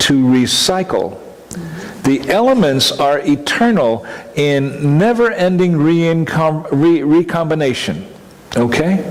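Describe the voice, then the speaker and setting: A man's fairly high-pitched voice with lively intonation and very even loudness, plus noticeable background noise and audible room echo. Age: 70s. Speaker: minister. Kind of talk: conference presentation. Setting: conference talk with audience.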